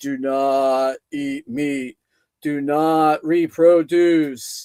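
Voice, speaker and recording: Doing a put-on character voice, a man booms at a fairly high pitch and a very slow pace. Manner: authoritative, commanding.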